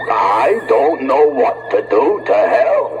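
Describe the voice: A man's cartoonish character voice at a very slow pace, over loud background noise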